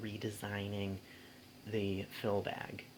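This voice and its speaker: Soft-spoken and fairly low in pitch, a man talks at a very slow pace. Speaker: vacuum cleaner hobbyist vlogger. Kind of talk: product review. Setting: bedroom at home. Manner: hesitant, many fillers.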